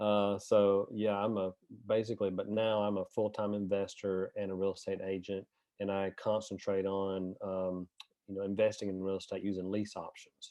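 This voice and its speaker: A man speaks with a strong Southern US accent. His fairly low voice stays monotone and flat. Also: moderate pace. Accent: deep Southern US. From US South, northern Alabama. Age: 40s. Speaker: real estate investor and agent. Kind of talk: interview.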